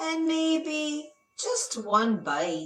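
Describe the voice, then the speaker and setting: A woman's squeaky, put-on character voice over music in the background. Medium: read story.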